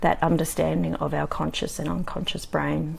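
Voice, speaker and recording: Noticeable background noise fills the recording. A woman is the one talking. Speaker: communication coach vlogger. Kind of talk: live video talk. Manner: many filler ums.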